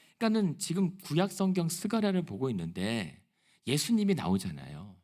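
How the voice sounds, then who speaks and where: A man speaks at a medium speed in a very clean recording where the background is silent. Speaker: pastor. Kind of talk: sermon.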